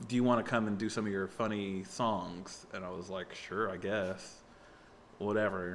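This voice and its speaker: In a room with audible echo, a man talks at a moderate pace in a fairly low voice. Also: fairly even intonation. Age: 30s. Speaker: comedian and musician. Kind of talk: casual chat.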